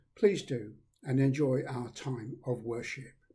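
Fairly slow, somewhat breathy speech from a man with a dark, mellow tone. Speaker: priest leading a service. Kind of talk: liturgy and welcome address. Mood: warm, calm, solemn. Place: home room. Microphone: webcam.

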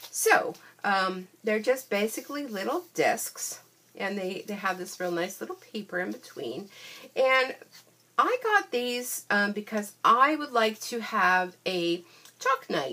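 Delivered at a very slow pace, the speech carries lively intonation. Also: woman. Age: 50s. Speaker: craft demonstrator. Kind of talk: product haul video. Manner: chatty, filler-heavy. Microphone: phone near.

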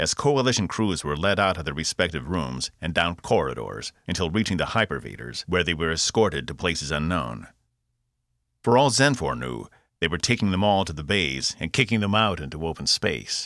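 This man's pitch is very deep and low, yet his tone is bright and sharp, with vocal fry. His delivery is dramatic, with very wide pitch swings. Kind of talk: literary audiobook reading, scripted narration of a sci-fi novel. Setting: studio. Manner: steady, dramatic storytelling pace; shifts tone to voice characters, crisp commands, smooth villain.

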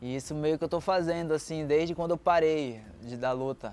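At a moderate pace, a man speaks with fairly even intonation. The sound is dry with no echo, and there is light background noise. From Brazil, Belém do Pará; Pará, Brazil. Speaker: Muay Thai fighter. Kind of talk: interview testimony. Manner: casual, halting. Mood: calm, reflective. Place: garden. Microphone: lapel.

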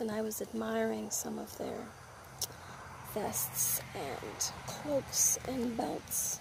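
Speaking at a very slow pace, a woman is heard with a dry sound with no echo and noticeable background noise. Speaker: ASMR creator. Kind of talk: ASMR unboxing haul, casual talk to camera. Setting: outdoors with birdsong. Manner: casual, chatty. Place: garden. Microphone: phone near.

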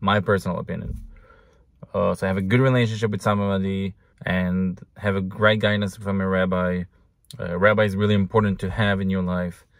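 Against a quiet background, a man with an Israeli accent talks fairly quickly in a flat monotone, his pitch fairly low and the sound dry with no echo. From Israel, Jerusalem. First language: Hebrew. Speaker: husband of the host. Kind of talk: casual Q&A. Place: car. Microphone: phone near.

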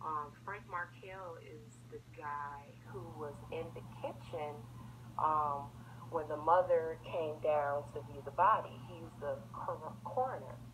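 Speech in an American accent comes at a very slow pace. Noticeable background noise runs underneath. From Chicago. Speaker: YouTuber discussing a crime case. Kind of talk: monologue to camera. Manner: halting, many fillers.

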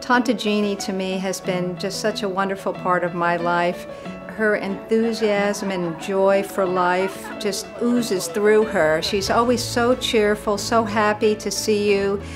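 A woman speaks at a medium pitch and a fairly slow pace, with hardly any pauses. Her intonation stays fairly even, and clear music plays in the background. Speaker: relative of the birthday woman. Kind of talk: interview answer. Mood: warm, affectionate. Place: home room.

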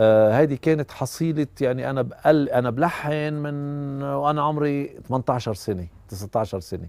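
Very slow speech with hardly any pauses, ordinary pitch variation and a dry sound with no echo. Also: man. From Lebanon. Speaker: musician and composer. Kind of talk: documentary interview. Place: garden. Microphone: lapel.

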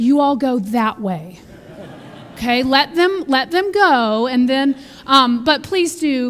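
A woman's voice, high in pitch. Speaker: minister giving announcements. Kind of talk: church announcements. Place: church.

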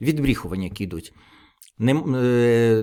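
Lively intonation and a dark, mellow tone from a man, on a very clean recording with a silent background. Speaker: political video blogger. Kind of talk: solo political commentary.

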